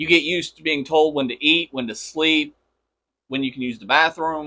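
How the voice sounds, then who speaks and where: A man with an ordinary speaking voice talks at a moderate pace, his pitch fairly high and his intonation fairly even. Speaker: podcast host. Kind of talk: interview questions. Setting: studio.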